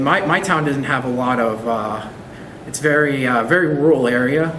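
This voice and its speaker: A man with an American accent speaks at a moderate pace in a fairly high voice, with ordinary pitch variation. Noticeable background noise and audible room echo are present. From US South, Arkansas. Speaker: assistant language teacher. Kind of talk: interview. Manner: halting.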